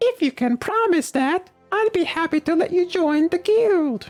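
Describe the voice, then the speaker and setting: Faint music plays behind a squeaky, put-on character voice. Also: man, extremely high pitch for a man, moderate pace. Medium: fan dub. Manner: folksy, talkative, dryly humorous.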